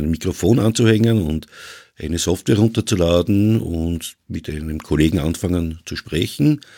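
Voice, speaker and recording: Over a silent background in a very clean recording, a man speaks with a very deep, low pitch and a dark, mellow tone. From Vienna, Austria. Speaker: podcaster. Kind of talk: casual chat.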